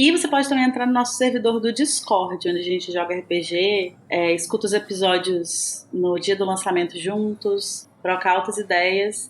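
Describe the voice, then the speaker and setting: A woman at medium pitch with a Minas Gerais accent, ordinary pitch variation, a moderate pace and hardly any pauses, over noticeable background noise. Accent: mineiro. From Minas Gerais, Brazil. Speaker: podcast co-host. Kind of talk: casual chat.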